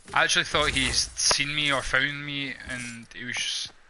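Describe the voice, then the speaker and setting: Noticeable background noise surrounds a man with a fairly high pitch. He talks at a moderate pace with monotone, flat intonation. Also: big swings in loudness. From Scotland. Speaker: gamer. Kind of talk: live gameplay commentary. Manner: casual, conversational.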